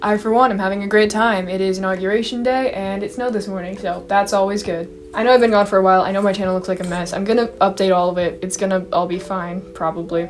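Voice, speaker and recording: A woman of medium pitch talks at a very fast pace with fairly even intonation amid noticeable background noise. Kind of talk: casual talk to camera. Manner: lowered, masculinized pitch.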